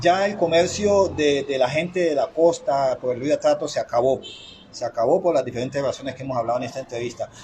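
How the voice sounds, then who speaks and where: A man's fairly high voice at a very fast pace, ordinary pitch variation, noticeable background noise behind it. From Chocó, Colombia. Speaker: interviewer. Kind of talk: interview. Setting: interviewee's home.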